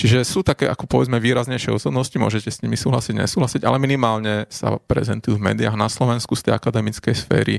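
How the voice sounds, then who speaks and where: Vocal fry runs through very fast speech with hardly any pauses. The pitch varies in an ordinary way, and the sound is dry and close with no echo. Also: man, medium pitch for a man. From Slovakia, Bratislava (Devínska Nová Ves). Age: 30s. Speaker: ecologist and climate scientist. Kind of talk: interview. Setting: studio.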